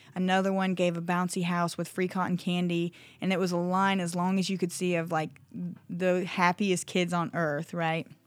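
On a very clean recording with a silent background, the speaker uses a US Midwestern accent at a moderate pace, with monotone, flat intonation and very even loudness. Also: woman, fairly low pitch for a woman. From Iowa, small town. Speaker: gym owner. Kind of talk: interview. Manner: halting, many fillers.

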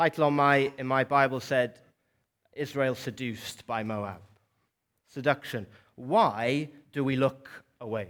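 A man with a Welsh accent speaks at a fairly slow pace with long, frequent pauses and big swings in loudness. His pitch is medium, with ordinary variation. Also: very clean recording, silent background. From South Wales. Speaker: preacher. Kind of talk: sermon. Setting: church.

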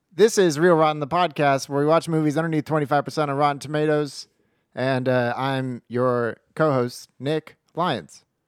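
A man's robotic, put-on character voice, fairly high in pitch, with fairly even intonation at a moderate pace and a dry, close sound with no echo. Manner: robot voice.

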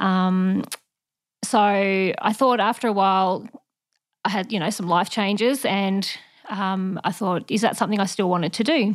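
A woman talks in an ordinary speaking voice. Her pitch is medium, with ordinary pitch variation. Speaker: officer, missionary childcare worker. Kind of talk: casual interview chat.

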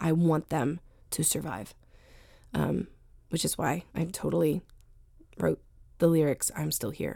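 A woman speaks in an American accent at a fairly slow pace. Her speech has long, frequent pauses. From US, Northern Virginia. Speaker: singer-songwriter. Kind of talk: interview. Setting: radio studio.

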